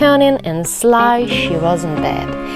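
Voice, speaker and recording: A woman talks very slowly. Music can be heard behind her. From Ukraine. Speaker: actress. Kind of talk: bedtime story reading for children. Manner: gentle storytelling.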